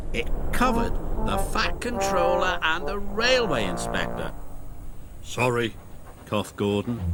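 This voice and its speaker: Music plays behind a man who speaks at a very slow pace. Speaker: narrator. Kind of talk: children's TV story narration.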